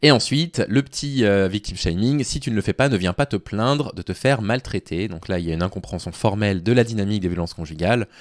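Talking at a very fast pace with hardly any pauses, a man speaks in a fairly low pitch with lively intonation against a quiet background. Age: 30s. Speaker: YouTuber and Twitch streamer commenting on dating advice; YouTuber, Twitch streamer commenting on dating advice. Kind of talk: live stream commentary reading and critiquing a forum post. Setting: live on Twitch. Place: home room. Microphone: studio mic.

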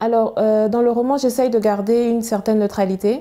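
A woman's dark, mellow tone over a quiet background, with fairly even intonation at a moderate pace. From Chad. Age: young. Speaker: novelist and biomedical engineer; guest. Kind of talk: TV interview. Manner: halting, repeats words. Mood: calm, measured. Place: studio. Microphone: lapel.

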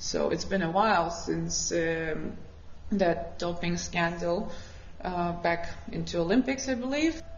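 The speech moves at a fairly slow pace with ordinary pitch variation. Light background noise and audible room echo are present. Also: woman, fairly low pitch for a woman. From Ukraine. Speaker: freediving athlete and instructor. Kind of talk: interview. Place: studio.

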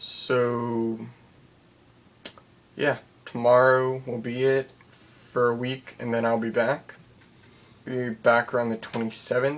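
A man's medium-pitched, monotone, flat delivery at a very slow pace, broken by long, frequent pauses. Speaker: vlogger. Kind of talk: casual vlog update. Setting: at home at night. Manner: quiet, hushed; hesitant, filler words. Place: home room. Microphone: webcam.

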